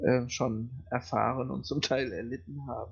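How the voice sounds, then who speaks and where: A somewhat breathy male voice at medium pitch. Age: 40s. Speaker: criminal defence lawyer and gamer. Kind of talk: casual chat. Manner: hesitant, many fillers.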